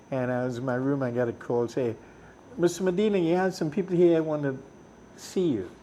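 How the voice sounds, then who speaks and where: Talking at a fairly quick pace, a man with a Trinidadian accent has a fairly high pitch and a dark, mellow tone. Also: lively intonation. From Trinidad, Cunupia. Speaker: musician. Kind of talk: interview storytelling. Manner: animated.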